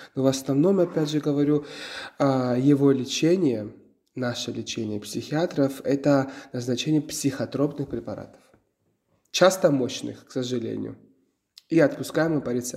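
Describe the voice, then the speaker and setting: Long, frequent pauses break up a moderate pace, the dark, mellow tone moving with ordinary pitch variation. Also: man, fairly high pitch for a man. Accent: Georgian. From Georgia. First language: Georgian (speaking Russian). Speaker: psychotherapist. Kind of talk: interview. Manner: halting.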